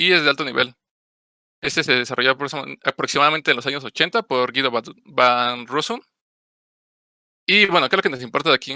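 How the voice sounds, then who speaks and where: A man's fairly high, bright and sharp voice at a very fast pace, dry and close with no echo. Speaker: programming course instructor. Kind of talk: online class lecture.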